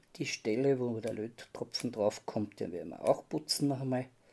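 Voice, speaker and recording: With ordinary pitch variation, a man talks at a fairly slow pace in a dark, mellow tone, leaving long, frequent pauses. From Austria. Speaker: model railway hobbyist. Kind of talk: tutorial. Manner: halting. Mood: calm, focused. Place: workshop. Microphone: phone near.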